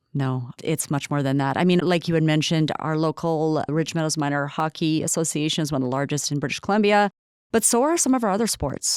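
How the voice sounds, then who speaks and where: A very clean recording with a silent background, dry and close with no echo, with ordinary pitch variation. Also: woman. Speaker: city recreation staff member. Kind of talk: podcast interview. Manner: fast.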